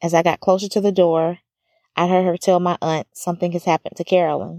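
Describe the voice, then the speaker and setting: A woman with an American accent at a fairly low pitch and moderate pace, in a monotone, flat intonation, on a very clean recording with a silent background and a dry, close sound with no echo. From US South, small-town Alabama. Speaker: podcast host. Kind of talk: personal testimony narration.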